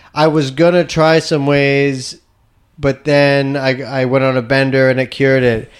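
Speaking at a fairly slow pace with a Canadian accent, a man uses a fairly high pitch and monotone, flat intonation. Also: very even loudness. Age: 30s. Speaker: podcast host and stand-up comedian. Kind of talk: casual chat.

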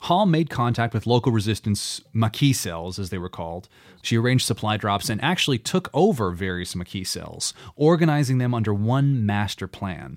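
On a very clean recording with a silent background, a man with an unremarkable speaking voice talks at a moderate pace and medium pitch, with lively intonation. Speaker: podcast host. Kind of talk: history documentary narration with scripted read-out, steady and dramatic. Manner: measured, clear, storytelling delivery.

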